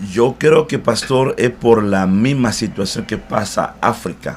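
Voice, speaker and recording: A man speaks. His pace is fairly slow. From DR Congo, Central Africa. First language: not Spanish; learned it in Cuba (speaking Spanish). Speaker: pastor. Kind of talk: interview. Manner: hesitant, frequent eh fillers.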